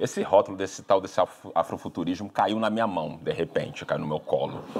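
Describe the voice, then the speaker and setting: Noticeable background noise runs behind this recording. A man talks at a fairly quick pace in a fairly low pitch. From Rio de Janeiro, Brazil. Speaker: writer. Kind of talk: public talk with Q&A. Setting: library event with audience. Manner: talkative, frequent fillers.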